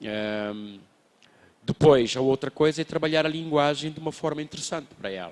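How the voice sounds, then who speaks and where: Speaking at a fairly quick pace, a man uses a fairly high pitch and lively intonation. The sound is dry and close, with no echo. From Mozambique. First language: a Mozambican Bantu language (speaking Portuguese). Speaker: children's book writer. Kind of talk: panel talk at book fair. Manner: halting, many repetitions.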